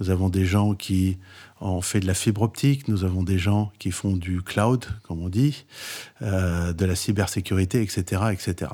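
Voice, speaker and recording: In a very clean recording with a silent background, a man with a very deep, low pitch and a dark, mellow tone speaks very slowly with fairly even intonation. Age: 60s. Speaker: entrepreneur and startup advisor. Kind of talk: interview.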